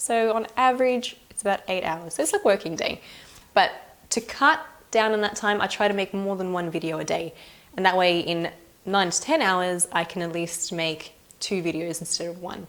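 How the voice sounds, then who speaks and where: A woman's unremarkable speaking voice at a medium pitch and moderate pace, with ordinary pitch variation and big swings in loudness. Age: 20s. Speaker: cake decorating youtuber. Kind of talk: casual Q&A talk to camera.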